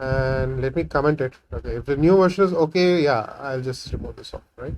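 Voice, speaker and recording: In a Tamil accent, a man talks at a fairly quick pace. His loudness swings widely. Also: fairly high pitch for a man, ordinary pitch variation. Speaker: programming tutorial creator. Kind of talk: coding tutorial. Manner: halting, many fillers; casual, thinking aloud.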